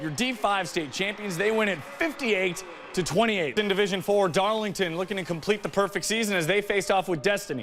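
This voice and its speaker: Over music in the background, a man with a high pitch talks at a fairly quick pace, his intonation lively and his tone upbeat and enthusiastic. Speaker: sports anchor and reporter. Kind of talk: TV sports broadcast anchor read. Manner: upbeat, enthusiastic.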